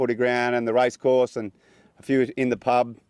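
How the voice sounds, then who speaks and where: A man with an Australian accent talks at a moderate pace and medium pitch in a monotone, flat intonation. The sound is dry and close, with no echo. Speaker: son giving funeral welcome. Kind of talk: funeral speech. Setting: funeral with audience. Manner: halting.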